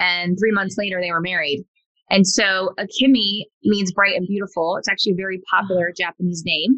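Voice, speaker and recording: A woman with an ordinary speaking voice talks at a fairly quick pace, her medium pitch carried by fairly even intonation. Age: 30s. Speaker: e-commerce entrepreneur. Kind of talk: casual chat.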